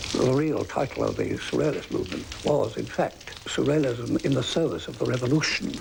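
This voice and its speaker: A man's fairly quick speech comes through with noticeable noise in the background. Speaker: poet. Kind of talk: interview answer.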